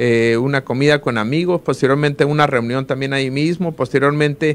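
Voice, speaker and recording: A man at a fairly quick pace, fairly high in pitch, with fairly even intonation. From Sinaloa, Mexico. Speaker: political candidate, lawyer; candidate. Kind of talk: interview; interview answer. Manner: hesitant, many filler words. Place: studio. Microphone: studio mic.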